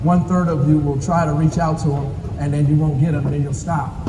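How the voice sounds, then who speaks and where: Noticeable background noise and audible room echo surround a man talking at a fairly quick pace in a fairly high pitch with monotone, flat intonation. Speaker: basketball coach. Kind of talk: clinic talk to coaches. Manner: fast.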